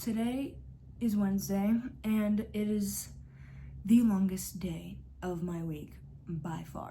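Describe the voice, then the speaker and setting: Her voice is somewhat breathy and dark and mellow in tone, moving very slowly with ordinary pitch variation. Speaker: vlogger. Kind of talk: casual vlog talk.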